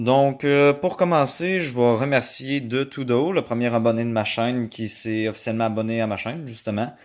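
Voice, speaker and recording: This is a very clean recording with a silent background. The speaking pace is moderate, and the pitch varies in an ordinary way. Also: man. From Quebec. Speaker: YouTuber, DIY audio hobbyist. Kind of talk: casual video intro. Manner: halting, many fillers.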